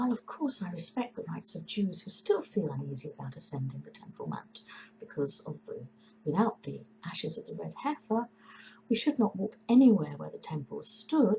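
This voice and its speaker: Moderate-paced talk from a woman, its loudness swinging widely. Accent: English. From England. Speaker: composer. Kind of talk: opinion statement to camera.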